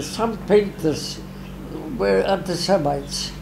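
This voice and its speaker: Noticeable background noise behind a man's high-pitched voice. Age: 80s+. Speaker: painter. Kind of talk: interview answer. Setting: art studio. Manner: energetic.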